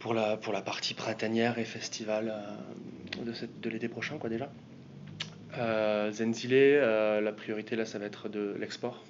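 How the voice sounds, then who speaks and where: Amid noticeable background noise, a man talks fairly slowly at a medium pitch, in a monotone, flat way, with long, frequent pauses. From southwest France. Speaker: music booker and band manager. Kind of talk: interview. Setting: music industry event. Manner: hesitant, many fillers.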